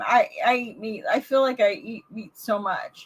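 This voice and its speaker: Speaking at a very slow pace, the woman draws out her words. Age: 60s. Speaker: vlogger doing a livestream. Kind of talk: casual live chat with viewers. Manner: halting, many fillers and restarts. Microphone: new microphone being tested.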